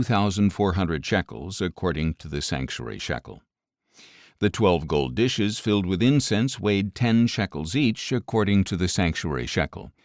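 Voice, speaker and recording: Recorded very cleanly against a silent background with a dry, close sound and no echo, a man speaks with fairly low pitch, vocal fry and lively intonation. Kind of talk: audio Bible reading.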